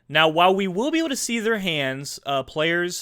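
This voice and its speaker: A bright, sharp tone at a moderate pace, with lively intonation. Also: man. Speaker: tournament commentator and streamer. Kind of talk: live commentary. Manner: loud.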